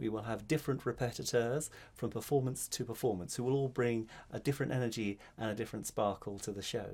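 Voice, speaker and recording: A very fast-talking man at a medium pitch, fairly even in intonation, in a very clean recording with a silent background. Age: 50s. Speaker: spoken word artist. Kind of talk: casual talk to camera.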